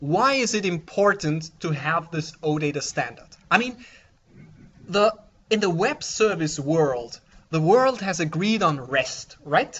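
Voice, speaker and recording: A man with a non-native accent talks at a fairly slow pace. His pitch is high and his intonation lively. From Austria. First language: German. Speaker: software developer, conference speaker. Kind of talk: conference talk. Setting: conference room with audience. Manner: halting, with fillers.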